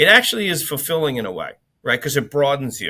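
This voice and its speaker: A man with an American accent at a very fast pace, on a very clean recording with a silent background. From Long Island, New York. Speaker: business executive. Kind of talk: interview conversation. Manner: loud, outspoken; casual, filler-heavy.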